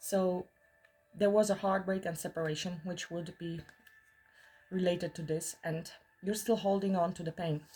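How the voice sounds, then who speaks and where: Music plays in the background as a woman with a fairly low pitch speaks at a moderate pace in monotone, flat intonation, with long, frequent pauses. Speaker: tarot reader. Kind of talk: tarot reading monologue. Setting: in the mountains.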